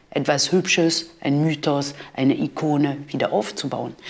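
A woman talks at a fairly slow pace with a French accent. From France. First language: French (speaking German). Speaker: art history professor; professor. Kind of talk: interview; interview answer. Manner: hesitant, with fillers. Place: studio.

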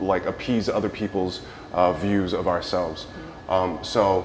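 A man has an ordinary speaking voice, fairly low in pitch, at a moderate pace. Light background noise is present. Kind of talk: interview answer. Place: hall.

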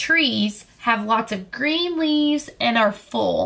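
A text is being read. It is reading aloud in a natural voice.

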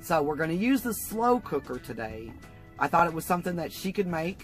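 Faint music plays behind a woman with a fairly low pitch. The sound is dry, with no echo. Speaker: cooking vlogger. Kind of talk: casual vlog tutorial. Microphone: camera far.

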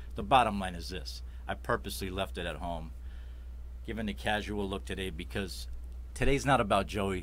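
A man with a Chicago accent and vocal fry speaks in a very deep, low pitch with very wide pitch swings, moving at a fairly quick pace broken by long, frequent pauses. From Chicago Heights, Illinois; Illinois. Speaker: web show host. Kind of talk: casual interview show. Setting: studio. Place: studio. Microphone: studio mic.

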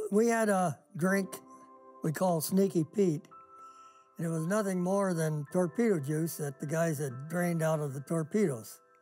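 With faint music in the background, a man talks at a moderate pace in a high voice with ordinary pitch variation. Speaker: war veteran. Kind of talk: interview answer. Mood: calm, wry storytelling. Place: garage.

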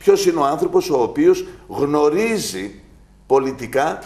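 A man's dark, mellow tone, lively intonation and fairly slow pace. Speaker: candidate. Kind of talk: interview answer. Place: office. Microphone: lapel.

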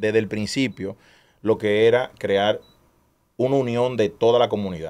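In a very clean recording with a silent background, a man with a Dominican accent talks fairly slowly at medium pitch with fairly even intonation. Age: 30s. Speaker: street racing event organizer. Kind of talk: casual chat. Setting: studio.

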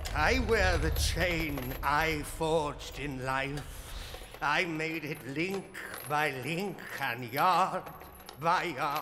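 A man puts on a character voice, pitched fairly high, speaking very slowly with long, frequent pauses over clear background noise. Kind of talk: ghostly radio drama acting. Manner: mournful, solemn, doom-laden.

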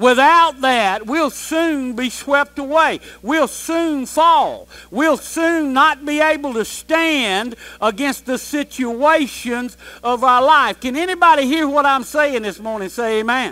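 In a raised, projected voice, a man with an American accent speaks at a very slow pace. His tone is bright and sharp, with ordinary pitch variation. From US South, Georgia. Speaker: pastor. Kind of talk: sermon. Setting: church with congregation. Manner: animated, call-and-response preaching, urging the congregation to shout amen. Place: church.

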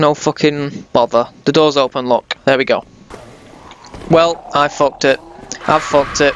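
Noticeable background noise surrounds a man whose voice is fairly high-pitched. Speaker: gaming YouTuber. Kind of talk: video game let's play commentary; angry rant, swearing at the game mid-fight. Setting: home recording, gameplay with voiceover. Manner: animated, loud, excitable, shouting panicked repeated curses; casual, sweary, jokey.

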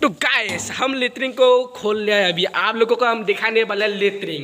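Over faint background noise, a man with a high pitch and a bright, sharp tone talks at a moderate pace with ordinary pitch variation.

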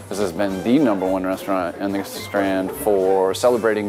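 Clear background music under a man's fairly quick pace. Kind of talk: interview answer. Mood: warm, promotional. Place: bar. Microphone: lapel.

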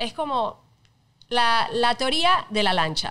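The voice has a bright, sharp tone against a quiet background. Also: woman. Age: 30s. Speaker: TV presenter; podcast guest. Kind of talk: casual chat. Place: studio. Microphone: studio mic.

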